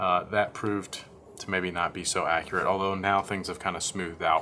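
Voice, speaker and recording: A man talks quietly at a fairly quick pace, his pitch very deep and low. His tone is bright and sharp, his intonation monotone and flat. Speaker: vlogger, parent of a sick child. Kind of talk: video diary update. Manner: quiet, hushed.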